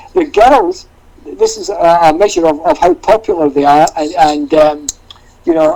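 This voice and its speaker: Noticeable noise sits behind the voice. The man talks at a moderate speed. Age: 60s. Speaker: tour manager. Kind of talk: casual chat.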